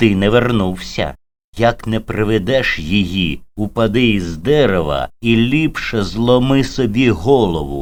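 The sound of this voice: There's a quiet background behind an unforced reading voice that shows ordinary pitch variation.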